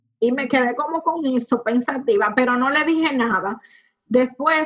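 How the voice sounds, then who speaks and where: In a high voice with ordinary pitch variation, a woman talks fairly slowly. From Dominican Republic, Puerto Plata. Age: 20s. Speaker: industrial engineer and home cook. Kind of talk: personal testimony.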